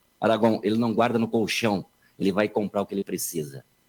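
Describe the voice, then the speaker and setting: A man is speaking. His pace is very fast. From southern Brazil, rural northwest Rio Grande do Sul. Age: 50s. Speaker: politician, gubernatorial pre-candidate. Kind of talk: radio interview with campaign speech.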